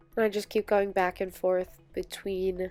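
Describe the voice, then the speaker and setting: Music plays in the background as a woman speaks at a medium pitch. Her pace is fairly slow and her intonation monotone and flat. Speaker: beauty vlogger. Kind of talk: makeup tutorial voice-over. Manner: casual, chatty.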